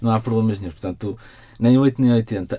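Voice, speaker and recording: A man speaks with fairly even intonation in a dark, mellow tone. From Portugal, Porto. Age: 30s. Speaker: novelist. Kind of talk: interview.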